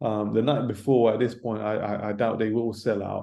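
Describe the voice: A man speaks at a moderate pace in a fairly low pitch with little pitch movement. His tone is dark and mellow, with vocal fry.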